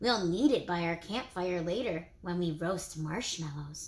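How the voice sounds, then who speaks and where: A woman does a put-on character voice with lively intonation. Her pitch is fairly low and her pace moderate. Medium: read story. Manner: gentle, fatherly.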